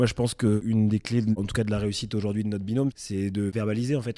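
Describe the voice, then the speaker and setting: A man speaks at a very fast pace with a fairly low pitch and a dark, mellow tone. His intonation is monotone and flat, broken by long, frequent pauses. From Champagne, France (Reims). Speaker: winery manager. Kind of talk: interview.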